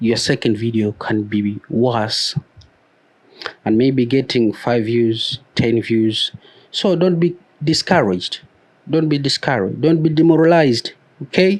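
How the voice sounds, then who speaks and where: With a non-native accent, a man of medium pitch speaks fairly slowly with lively intonation, very even loudness and long, frequent pauses. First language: a non-English mother tongue. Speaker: YouTube growth coach. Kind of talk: motivational talk to camera. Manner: hesitant with fillers and repetitions.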